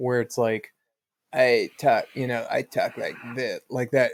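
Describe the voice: A put-on character voice from a man, medium in pitch and creaky, at a fairly slow pace, with a dry, close sound with no echo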